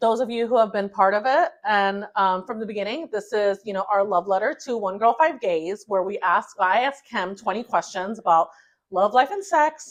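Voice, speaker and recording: Against a quiet background, a woman with a fairly high pitch talks at a moderate pace with ordinary pitch variation. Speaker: podcast co-host. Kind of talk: casual chat. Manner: loud.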